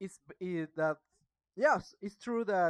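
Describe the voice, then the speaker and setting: A woman with a Mexican accent and medium pitch speaks at a very slow pace in a dry, close sound with no echo. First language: Spanish. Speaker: student practicing English, video blogger. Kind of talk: casual monologue book review. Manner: halting, hesitant.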